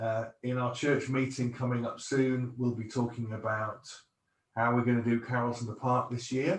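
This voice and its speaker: This man's voice is somewhat breathy and sits at a medium pitch. He speaks at a moderate pace with flat, monotone intonation. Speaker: pastor. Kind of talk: church talk; interview.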